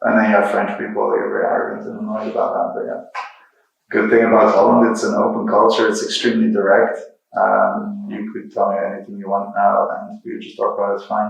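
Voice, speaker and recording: Amid audible room echo, a man with a Dutch accent speaks at a very fast pace with big swings in loudness. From Netherlands, Rotterdam. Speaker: software engineer and creative technologist, guest lecturer. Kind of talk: lecture.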